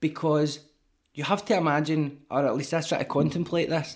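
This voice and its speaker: In a Glasgow accent, a man talks at a moderate pace with a fairly high pitch. The recording is very clean, with a silent background. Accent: Scottish (Glasgow). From Scotland. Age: 30s. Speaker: rapper and author. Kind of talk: casual interview.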